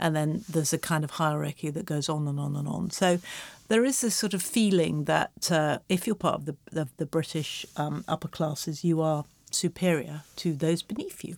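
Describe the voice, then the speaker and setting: The recording is very clean with a silent background. A woman speaks at a moderate pace with a very deep, low pitch, vocal fry and ordinary pitch variation. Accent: English. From England. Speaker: screenwriter and creative writing professor. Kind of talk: casual interview chat. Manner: hesitant, many fillers.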